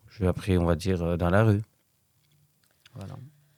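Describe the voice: Low-pitched and clear, the man's smooth, slightly mellow voice barely shifts in pitch over a very clean recording with a silent background.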